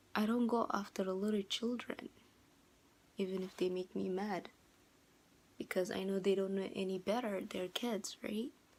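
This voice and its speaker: With a slight non-native accent, a woman speaks with long, frequent pauses. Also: medium pitch for a woman, moderate pace. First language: not English. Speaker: vlogger. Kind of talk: casual vlog monologue. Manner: hesitant, many fillers.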